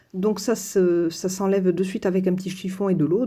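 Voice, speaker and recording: The recording is very clean with a silent background. A woman at medium pitch speaks in a dark, mellow tone that is somewhat breathy. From southern France. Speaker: crafts youtuber. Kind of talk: tutorial. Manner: hesitant, many fillers.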